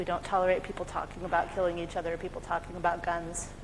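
A woman with an American accent over light background noise. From US, California. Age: 40s. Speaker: conference speaker, community participation lead; conference presenter. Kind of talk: conference talk. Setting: conference room with audience. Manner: fast. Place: hall.

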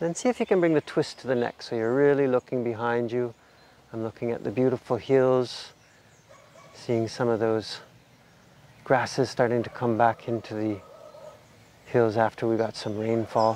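A man talks at a moderate pace with fairly even intonation, leaving long, frequent pauses. The sound is dry, with no echo. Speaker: yoga instructor. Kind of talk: guided exercise instruction. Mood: calm, soothing. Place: garden. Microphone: lapel.

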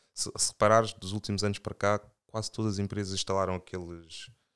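Delivered at a very fast pace in a monotone, flat intonation, the speech has a dry, close sound with no echo and a very clean recording with a silent background. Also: man. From Portugal, Angolan-born. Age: 30s. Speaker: financial consultant and investor. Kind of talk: casual chat.

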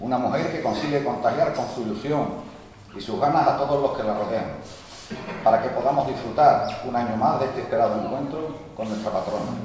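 A man speaks at a fairly quick pace with a fairly high pitch and ordinary pitch variation. There is strong room echo and light background noise. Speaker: local councillor giving a speech. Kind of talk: formal speech. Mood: solemn, festive. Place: church. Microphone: podium.

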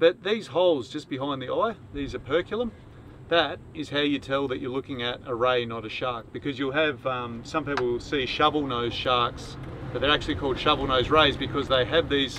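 A man's fairly quick speech with ordinary pitch variation, dry with no echo, over noticeable background noise. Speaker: sailing vlogger. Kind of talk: casual explanatory tutorial. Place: boat. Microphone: camera far.

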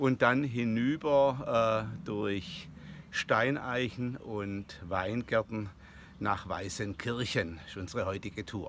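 Over light background noise, a man talks at a very slow pace with ordinary pitch variation in a dry sound with no echo. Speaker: hiker vlogger. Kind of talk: casual vlog chat. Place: open country. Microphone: phone near.

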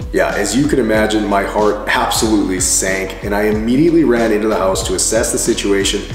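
A man at a very fast pace over clear music in the background. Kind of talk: casual vlog chat. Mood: animated storytelling. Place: garden.

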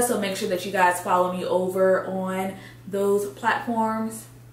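Audible room echo surrounds this woman's voice. She talks at a fairly slow pace with ordinary pitch variation. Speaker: fashion vlogger. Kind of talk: casual vlog chat. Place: home room.

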